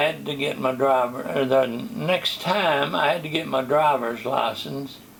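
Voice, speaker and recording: Amid noticeable background noise and audible room echo, a man talks fairly slowly at a fairly high pitch. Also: hardly any pauses. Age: 80s+. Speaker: retired pastor. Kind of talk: testimony. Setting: interview.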